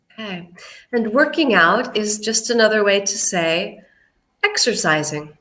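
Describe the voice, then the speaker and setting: A woman with an American accent talks at a fairly slow pace and a fairly high pitch, with lively intonation. There is audible room echo. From United States. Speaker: English teacher. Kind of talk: online English lesson livestream.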